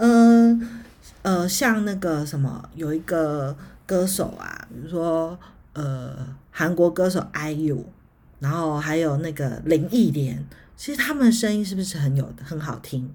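Somewhat breathy and very slow, a woman speaks at a fairly low pitch with lively intonation amid audible room echo. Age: 40s. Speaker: podcast host, astrology. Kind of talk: solo educational talk. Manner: hesitant, many filler sounds.

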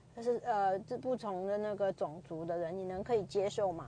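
A woman with a strong Chinese accent, a medium pitch and lively intonation at a moderate pace. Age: 30s. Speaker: podcaster. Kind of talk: casual monologue. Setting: commuting to work. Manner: halting, many fillers.

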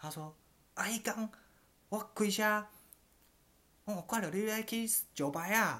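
Long pauses come often in this very slow speech. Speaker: podcast co-host. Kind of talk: casual chat.

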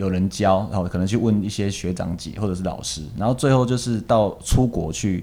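A man's fairly low voice, an ordinary speaking voice, with ordinary pitch variation, a fairly quick pace and hardly any pauses. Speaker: ballroom and Latin dance teacher. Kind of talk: casual interview chat.

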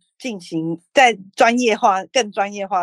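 A woman's voice with ordinary pitch variation, dry and close with no echo. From Taiwan, New Taipei north coast. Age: 30s. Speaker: city councillor candidate. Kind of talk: interview. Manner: halting, many fillers.

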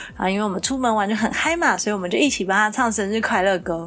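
Noticeable background noise runs through the clip. A woman talks over it. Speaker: podcast co-host. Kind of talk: casual chat.

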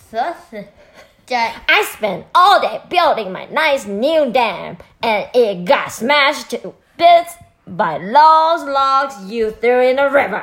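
In a high-pitched, growling put-on character voice, the speaker goes at a very slow pace. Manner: snarling, angry.

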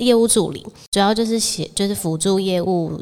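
In a Taiwanese accent, a woman talks at a moderate pace with ordinary pitch variation. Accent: Taiwanese Mandarin. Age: 20s. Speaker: podcast co-host. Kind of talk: casual chat. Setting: home-built studio.

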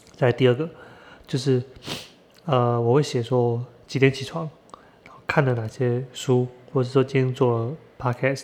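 Fairly slow delivery with fairly even intonation. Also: man. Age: 30s. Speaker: podcast host. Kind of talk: solo monologue on a book. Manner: halting, many fillers and repetitions.

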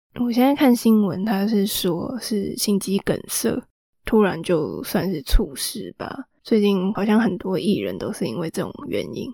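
Speaking at a fairly slow pace, a woman with a medium-pitched, dark, mellow voice uses lively intonation and vocal fry. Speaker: podcast host. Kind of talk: casual chat.

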